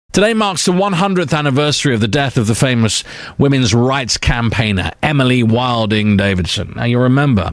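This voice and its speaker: An ordinary speaking voice moves at a fairly quick pace, with lively intonation and very even loudness. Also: man, medium pitch for a man. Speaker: radio presenter. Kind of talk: radio show presenting.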